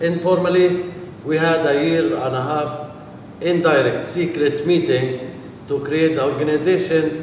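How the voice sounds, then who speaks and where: A man speaks at a fairly slow pace, his pitch fairly high and his intonation fairly even. Audible room echo and noticeable background noise surround his voice. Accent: Palestinian. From Palestine. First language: Arabic. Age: 40s. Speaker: peace activist. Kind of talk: talk to a visiting group. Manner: hesitant, many fillers.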